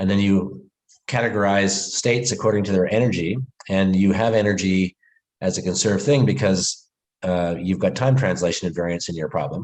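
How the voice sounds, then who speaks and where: Fairly quick and fairly low, a man's voice comes through. His pitch varies in an ordinary way. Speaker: physics professor. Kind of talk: lecture. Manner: fast.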